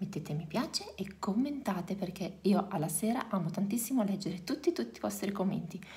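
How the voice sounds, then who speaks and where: A soft-spoken woman talks at a medium pitch. Her pace is fairly quick, with hardly any pauses. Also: lively intonation. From Reggio Emilia, northern Italy; Italy. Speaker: youtuber, mother of four; youtuber. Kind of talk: casual vlog. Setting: at home. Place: home room. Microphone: phone near.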